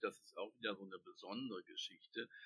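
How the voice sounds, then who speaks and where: A man's voice comes through with a dry, close sound and no echo at all. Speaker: book editor and literary society chairman. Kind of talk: interview.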